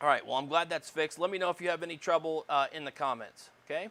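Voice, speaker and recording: A man talks very fast and loud in a bright, sharp tone, his fairly high pitch varying in an ordinary way. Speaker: college electronics instructor. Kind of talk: lecture. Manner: hesitant, many fillers.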